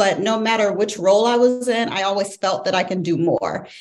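A woman with an American accent speaks at a moderate pace in a fairly high pitch, with noticeable background noise. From St. Louis, Missouri. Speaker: executive MBA student, former scientist. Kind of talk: interview.

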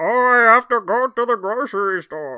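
Against a quiet background, a female-sounding, put-on character voice speaks at a fairly high pitch. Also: moderate pace. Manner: mocking, deflated.

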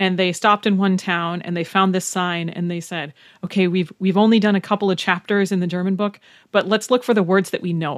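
With an American accent and an unremarkable speaking voice, a woman talks at a moderate pace and medium pitch with ordinary pitch variation, in a dry, close sound with no echo on a very clean recording with a silent background. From Wisconsin, US Upper Midwest. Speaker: German language teacher. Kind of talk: casual interview chat. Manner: laughs often.

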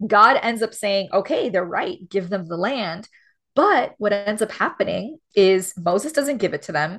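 Against a quiet background, a woman with an American accent speaks at a medium pitch, her tone animated and her intonation lively. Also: fairly slow pace. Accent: Miami Cuban American English. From Miami, Florida (Cuban American community). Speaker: theologian and author. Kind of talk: interview conversation. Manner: animated, many fillers and laughs.

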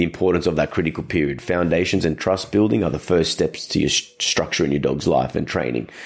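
Over a very clean recording with a silent background, a man with an Australian accent speaks at a very deep, low pitch with vocal fry. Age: 30s. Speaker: dog trainer and podcast host. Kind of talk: casual solo podcast talk.

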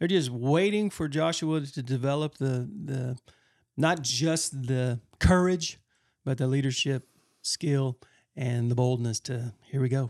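An ordinary speaking voice from a man, medium in pitch with ordinary pitch variation, at a fairly slow pace, dry and close with no echo on a very clean recording with a silent background. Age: 50s. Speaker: pastor and podcast co-host. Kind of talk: casual chat.

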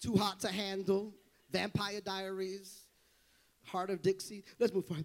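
A man's high-pitched, animated voice at a fairly slow pace, with long, frequent pauses. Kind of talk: sermon. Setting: church with live congregation. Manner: animated, loud, call-and-response preaching, building to shouts; urgent and exhorting, rhythmic with repeated phrases and 'come on' prompts.

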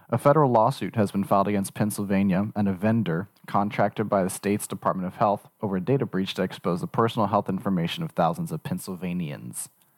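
Very fast male speech at a fairly low pitch, lively intonation and hardly any pauses, dry and close with no echo, very clean recording with a silent background. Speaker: podcast producer. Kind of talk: reading a news article aloud.

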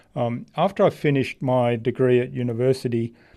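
Against a quiet background, a man with an Australian accent speaks in a dark, mellow tone. His pitch is medium with ordinary variation, and his pace is moderate. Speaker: marketing strategist. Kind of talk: interview conversation.

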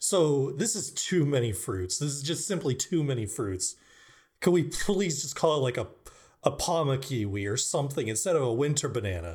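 At a moderate pace, a man speaks in a fairly high pitch with vocal fry and very wide pitch swings. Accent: American. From California. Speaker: podcast host. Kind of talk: casual chat with improv.

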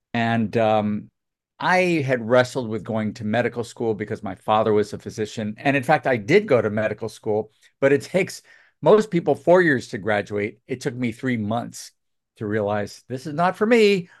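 A man with an unremarkable speaking voice talks at medium pitch and a moderate pace, his intonation lively. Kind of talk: casual interview.

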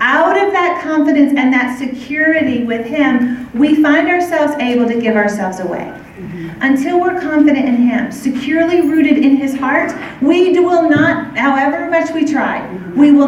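A woman's high voice at a moderate pace, with lively intonation, audible room echo and noticeable background noise. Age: 40s. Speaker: women's ministry speaker. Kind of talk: sermon.

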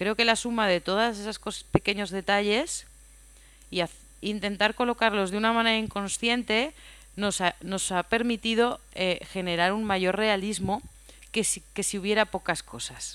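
A woman speaks in an unremarkable speaking voice at a medium pitch. Her pace is fairly slow. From Spain, Aragón (Huesca). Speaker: film sound mixer. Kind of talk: interview.

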